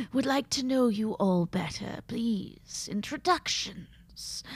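A woman puts on a raspy character voice. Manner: silky, creepy, falsely polite.

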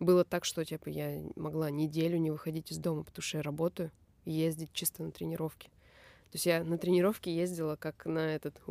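At a fairly quick pace, a dark, mellow voice holds a monotone, flat intonation, its sound dry and close with no echo in a very clean recording with a silent background. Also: woman, very deep, low pitch for a woman. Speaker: krump dancer and choreographer. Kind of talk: casual chat.

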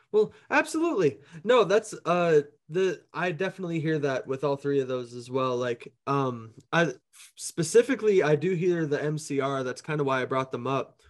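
A man with an American accent speaks in a plain, everyday voice at a fairly high pitch. His intonation is lively and his pace moderate. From Minneapolis, US Midwest. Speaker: podcast host and musician. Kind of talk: casual interview. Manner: laughs often.

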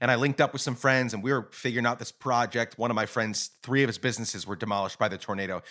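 The voice runs at a very fast pace with a bright, sharp tone and fairly even intonation, on a very clean recording with a silent background. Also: man. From Guatemala (born in Rochester, New York). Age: 30s. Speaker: podcast host. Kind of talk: interview conversation. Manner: casual, filler-heavy.

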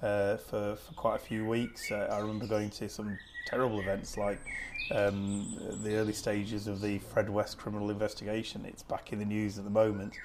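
The speaker has a Lancashire accent and a fairly quick pace. Noticeable background noise runs underneath. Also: man. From Lancashire, Preston. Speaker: TV news editor. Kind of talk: interview. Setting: in-person conversation. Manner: halting.

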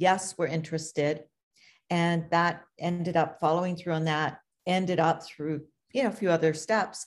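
In an unremarkable speaking voice, a woman talks at a moderate pace with a fairly low pitch and fairly even intonation. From Canada, Toronto. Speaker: author and magazine editor. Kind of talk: interview. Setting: video call.

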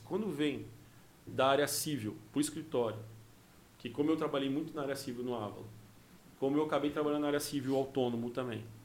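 Audible room echo surrounds a man who speaks at a very fast pace with a fairly high pitch and fairly even intonation. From Rio Grande do Sul, raised in Mato Grosso do Sul. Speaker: criminal lawyer and former comedian. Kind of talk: casual chat.

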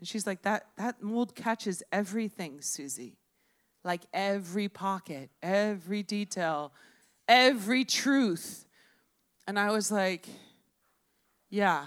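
In a very clean recording with a silent background and a dry, close sound with no echo, a woman at a medium pitch speaks very slowly with lively intonation and long, frequent pauses. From Miami. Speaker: storyteller. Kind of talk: live storytelling. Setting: bar stage with audience.

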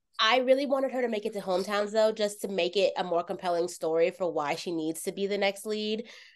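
A woman talks at a medium pitch with ordinary pitch variation. Her pace is very fast, with hardly any pauses. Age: 30s. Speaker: podcast host. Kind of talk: casual chat.

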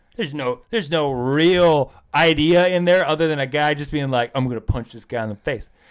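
A man with an unremarkable speaking voice, fairly high in pitch, talks at a fairly quick pace with hardly any pauses on a very clean recording with a silent background. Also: ordinary pitch variation. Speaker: podcast co-host. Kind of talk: casual chat.

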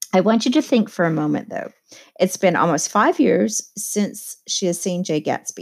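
This reading aloud in a natural voice has lively intonation, with a quiet background behind it.

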